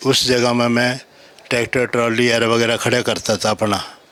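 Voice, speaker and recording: A man's voice amid noticeable background noise. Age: 70s. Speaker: retired army veteran. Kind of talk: testimony.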